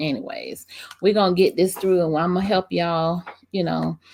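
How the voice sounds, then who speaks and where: Speaking with a Southern US accent, a woman uses a fairly low pitch and ordinary pitch variation. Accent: country, says y'all. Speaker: small business coach. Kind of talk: live screen-share tutorial. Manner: casual, many fillers.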